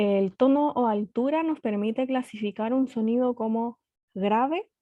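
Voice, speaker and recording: At a fairly slow pace, a woman with a fairly high pitch talks with ordinary pitch variation. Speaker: physics teacher. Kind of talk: online lecture.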